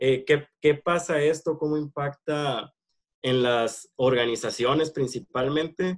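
Delivered at a very slow pace with fairly even intonation, the voice has a dry, close sound with no echo. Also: man, fairly high pitch for a man. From Mexico, Hermosillo, Sonora. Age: 20s. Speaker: purchasing and planning manager. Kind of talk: interview. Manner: halting, many fillers.

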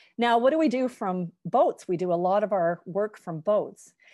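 Against a quiet background, a woman with a medium pitch and a dark, mellow tone speaks at a moderate pace with lively intonation. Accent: western Canadian. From Canada, Victoria, British Columbia. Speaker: professor. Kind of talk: lecture.

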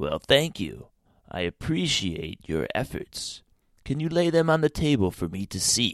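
A man does a put-on character voice at medium pitch, with very wide pitch swings at a moderate pace. The recording is very clean with a silent background and a dry, close sound with no echo. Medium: read story.

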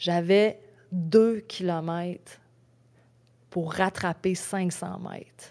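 A woman with a Quebec accent speaks very slowly in a dark, mellow tone at a fairly low pitch. Her intonation is monotone and flat, with long, frequent pauses. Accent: Québécois French. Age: 40s. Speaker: ultra-trail runner. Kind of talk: casual interview chat. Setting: in-person studio.

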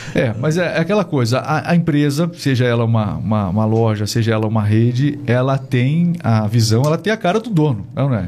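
Hardly pausing, a man talks with lively intonation while noticeable background noise carries on behind him. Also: medium pitch for a man, moderate pace. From Brazil. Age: 40s. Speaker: podcast host. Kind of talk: interview. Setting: studio.

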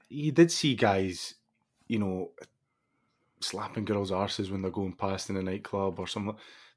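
Against a quiet background, a man with a Scottish accent talks at a moderate pace with long, frequent pauses. His pitch is fairly low, with ordinary variation. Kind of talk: casual chat.

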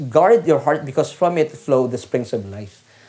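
A man speaks with a dark, mellow tone. His pitch is fairly high. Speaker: preacher. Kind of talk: sermon. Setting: online church service. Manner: animated, rallying the congregation with call-and-response; earnest, formal and polite, Taglish.

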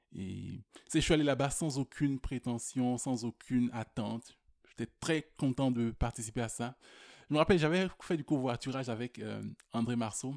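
In a very clean recording with a silent background and a dry, close sound with no echo, a man uses a normal speaking voice at a medium pitch and moderate pace with ordinary pitch variation. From Quebec, Rimouski. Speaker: slam poet. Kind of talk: slam performance.

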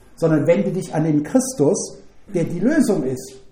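The voice moves at a moderate pace with ordinary pitch variation. Audible room echo and noticeable background noise come through. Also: man. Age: 70s. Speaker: preacher. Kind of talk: sermon.

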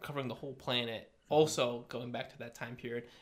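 Speaking with an American accent, a man holds a medium pitch in a monotone, flat intonation. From US Connecticut. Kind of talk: casual chat.

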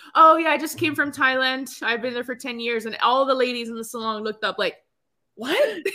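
A woman with an American accent uses a raised, projected voice, high in pitch and bright and sharp in tone, moving at a fairly quick pace with ordinary pitch variation. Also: big swings in loudness. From Los Angeles, Cuban family. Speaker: podcast co-host. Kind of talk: casual chat.

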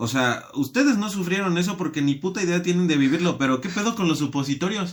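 A man talks very fast in a high voice. His intonation is lively. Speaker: podcast guest. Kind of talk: casual chat.

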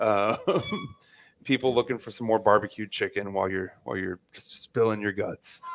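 A man with an American accent talks at a moderate pace in a fairly low pitch. His loudness swings widely, and the sound is dry and close with no echo. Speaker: podcast host. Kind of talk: casual chat. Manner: animated, joking.

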